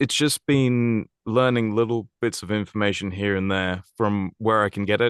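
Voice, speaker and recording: A man with an English accent at a fairly low pitch and moderate pace, fairly even intonation and hardly any pauses, in a dry, close sound with no echo. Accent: posh English RP. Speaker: voice actor. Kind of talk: podcast interview.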